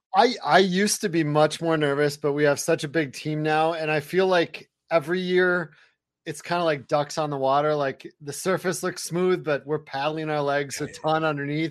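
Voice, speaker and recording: A man with an unremarkable speaking voice, fairly high in pitch, at a moderate pace with fairly even intonation against a quiet background. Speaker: fantasy football analyst. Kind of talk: casual interview chat. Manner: laid-back.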